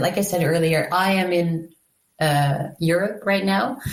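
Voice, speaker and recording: Recorded with audible room echo, a woman with a Dutch accent speaks at a medium pitch with ordinary pitch variation. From Netherlands. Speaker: free software advocate. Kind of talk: podcast interview.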